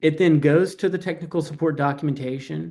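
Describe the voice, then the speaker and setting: A man speaks at a fairly quick pace with a Southern US accent. His voice sits fairly high and has a dark, mellow tone. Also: quiet background. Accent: Southern twang. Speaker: AI automation company founder, guest speaker. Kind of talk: webinar presentation. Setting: online webinar.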